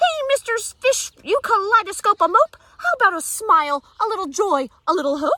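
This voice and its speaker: The speaker puts on a character voice with very wide pitch swings at a moderate pace. The sound is dry and close, without echo. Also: woman, extremely high pitch for a woman. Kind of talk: bedtime story. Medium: read story.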